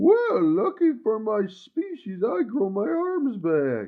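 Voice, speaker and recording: A man's put-on character voice, high-pitched and at a fairly slow pace. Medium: read story.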